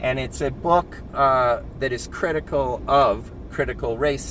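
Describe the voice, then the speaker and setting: A man's voice comes through with audible room echo. Noticeable background noise sits behind it. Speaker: video commentator. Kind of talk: casual commentary monologue. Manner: halting, many fillers and restarts.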